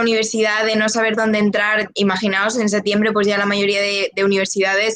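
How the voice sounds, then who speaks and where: The woman speaks at a medium pitch. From León, Spain. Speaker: journalism student. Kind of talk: open day talk. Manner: hesitant.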